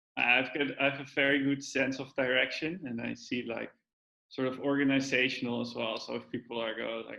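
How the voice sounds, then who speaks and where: A man with a Dutch accent speaks at a fairly quick pace in a medium pitch, monotone and flat, his tone bright and sharp with vocal fry. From Netherlands. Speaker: data science trainee, physics PhD. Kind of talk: casual interview. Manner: halting.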